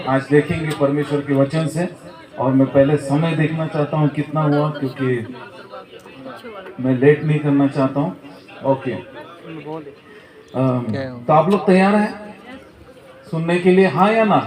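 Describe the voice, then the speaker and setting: With crowd noise in the background, a man speaks in a fairly high voice with ordinary pitch variation. He leaves long, frequent pauses. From Nagpur, central India. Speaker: pastor. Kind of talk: sermon. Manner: hesitant fillers.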